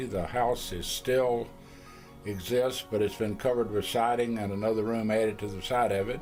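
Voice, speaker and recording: Music behind a man with a Tennessee accent, medium pitch, moderate pace and monotone, flat intonation. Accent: Southern US (Tennessee). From Middle Tennessee, USA. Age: old. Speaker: retired businessman. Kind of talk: interview answer.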